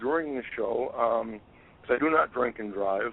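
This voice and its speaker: A man's unremarkable speaking voice at a medium pitch and a moderate pace, with ordinary pitch variation. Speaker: fantasy football podcast co-host. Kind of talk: casual chat.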